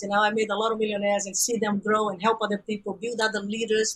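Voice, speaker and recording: A woman talks at a very fast pace with a Brazilian Portuguese accent. Her pitch is fairly high. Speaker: business coach. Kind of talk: podcast interview. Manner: animated.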